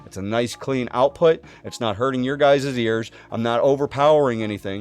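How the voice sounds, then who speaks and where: Delivered at a moderate pace, an ordinary speaking voice moves with ordinary pitch variation. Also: man, medium pitch for a man. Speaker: streamer giving tech tutorial. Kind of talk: tutorial. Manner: casual. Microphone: studio USB condenser mic with processing.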